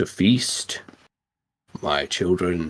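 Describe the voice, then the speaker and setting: A raspy, put-on character voice from a man, very deep and low in pitch. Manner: ominous, commanding.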